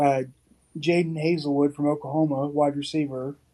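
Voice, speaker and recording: This man's voice is dark and mellow, fairly high in pitch. He speaks in a flat monotone. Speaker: podcast co-host. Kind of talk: casual chat.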